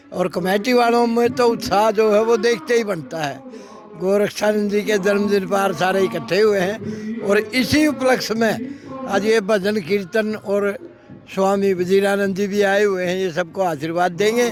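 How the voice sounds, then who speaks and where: With music in the background, a man talks in a high voice with ordinary pitch variation. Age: 70s. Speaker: retired bank manager, local elder. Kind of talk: interview.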